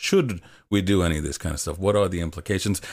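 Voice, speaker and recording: A man talks at a very fast pace in a very deep, low voice with fairly even intonation. The recording is very clean, with a silent background. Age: 20s. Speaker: video essayist and game critic. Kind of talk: casual chat. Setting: live stream with chat.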